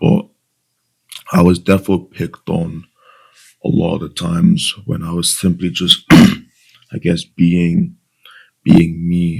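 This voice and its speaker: A man talks at a very slow pace. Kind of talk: casual talk to camera.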